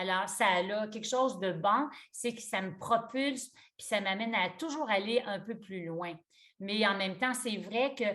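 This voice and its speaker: A woman speaks in a Quebec accent. Her pitch is fairly high and her pace fairly slow. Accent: Québécois French. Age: 60s. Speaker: yoga teacher. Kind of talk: interview conversation. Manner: halting.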